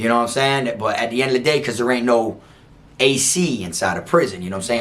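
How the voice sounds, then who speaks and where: Noticeable background noise sits behind a man speaking in an animated tone with an American accent. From South Florida. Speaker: former prison inmate telling stories. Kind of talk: casual storytelling monologue.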